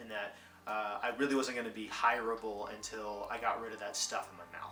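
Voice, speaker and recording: A man with an American accent speaks at a moderate pace and medium pitch, with audible room echo and noticeable background noise. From Louisiana. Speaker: actor and vlogger. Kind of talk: personal reflection vlog.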